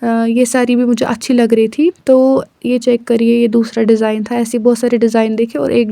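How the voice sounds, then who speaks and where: A woman is talking. Noticeable background noise can be heard throughout. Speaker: vlogger. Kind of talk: vlog voice-over narration. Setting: recorded voice-over. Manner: casual, code-switching with English.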